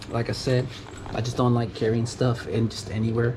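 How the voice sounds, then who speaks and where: A man with a Mexican accent talks at a fairly slow pace in a medium pitch. There is noticeable background noise. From US, Mexican family. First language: Spanish. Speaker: tool enthusiast youtuber. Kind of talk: casual tool show-and-tell. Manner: halting, many fillers.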